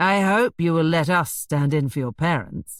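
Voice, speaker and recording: Using a put-on character voice, a man drawls at a moderate pace with a high pitch, ordinary pitch variation and very even loudness, in a dry, close sound with no echo. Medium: read story. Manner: drawling, sardonic.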